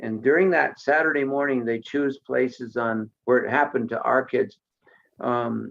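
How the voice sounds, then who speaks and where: A man with an American accent, a normal speaking voice, a medium pitch, fairly even intonation and a fairly slow pace. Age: 60s. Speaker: artist and former running coach. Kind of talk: personal testimony. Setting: live in-person show.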